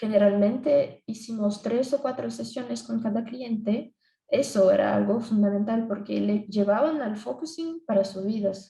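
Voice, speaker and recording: A woman with a Brazilian accent talks at a fairly slow pace, with hardly any pauses. Her pitch sits fairly high, with ordinary pitch variation. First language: Portuguese (speaking Spanish). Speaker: psychologist. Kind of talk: conference presentation. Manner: halting.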